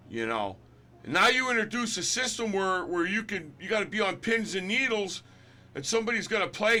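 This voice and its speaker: Projecting a raised voice, a man speaks at a fairly quick pace, high in pitch with a bright, sharp tone and ordinary pitch variation. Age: 60s. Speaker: gaming commentator. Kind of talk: opinion rant. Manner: animated; halting.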